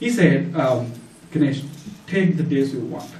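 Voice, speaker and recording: The speaker has a Tamil accent and talks at a moderate pace with ordinary pitch variation. Audible room echo and noticeable background noise fill the recording. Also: man. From India (Tamil-speaking). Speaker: church member giving testimony. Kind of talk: testimony. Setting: church. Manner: halting, many fillers.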